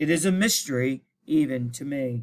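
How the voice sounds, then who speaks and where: This is a put-on character voice from a man. His pitch is fairly high. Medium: read story.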